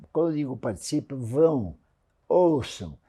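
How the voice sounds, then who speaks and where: A man's somewhat breathy voice with a dark, mellow tone at a fairly slow pace, on a very clean recording with a silent background. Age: 90s. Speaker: real estate industry veteran. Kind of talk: interview.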